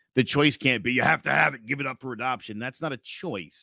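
A man's bright, sharp voice, recorded very cleanly against a silent background, with a dry, close sound and no echo. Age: 40s. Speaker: podcast host. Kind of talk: casual chat.

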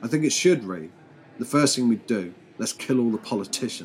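Over music in the background, a man with a British accent speaks at a moderate pace, his medium pitch carried by lively intonation. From Britain. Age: 40s. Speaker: podcast host. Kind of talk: casual news commentary monologue.

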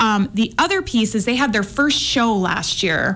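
Background noise is noticeable throughout. The woman talks at a moderate pace. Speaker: women's basketball analyst. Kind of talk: casual interview.

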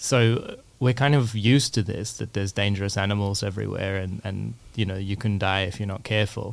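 Over a very clean recording with a silent background, a man with an Australian accent speaks at a fairly quick pace with fairly even intonation. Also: fairly low pitch for a man. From Australia, Melbourne. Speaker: environmental philosopher, assistant professor. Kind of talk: interview. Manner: hesitant with frequent fillers.

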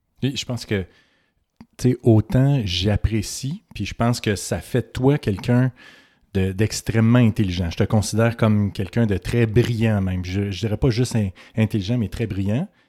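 With a Quebec accent, a man speaks at a moderate pace in a fairly low pitch, his dark, mellow tone and fairly even intonation captured in a dry, close sound with no echo on a very clean recording with a silent background. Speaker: physician podcast co-host. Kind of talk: casual chat.

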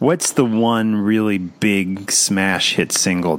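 Speaking fairly slowly in a very deep, low voice, a man is heard over noticeable background noise. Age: 40s. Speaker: podcast host. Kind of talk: casual interview.

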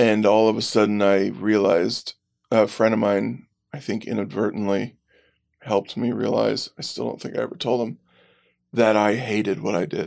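With an American accent and vocal fry, the speaker talks at a moderate pace in a very clean recording with a silent background. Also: man, fairly low pitch for a man, ordinary pitch variation. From Pennsylvania. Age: 30s. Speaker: adoptee sharing his story. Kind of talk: interview.

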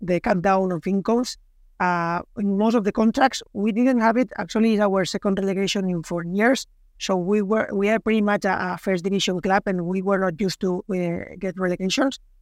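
Moderate pace with a Spanish accent, in a dry, close sound with no echo. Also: man, very clean recording, silent background. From Catalonia, Spain. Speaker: sports club sponsorship executive. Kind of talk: casual interview. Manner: halting, hesitant with fillers.

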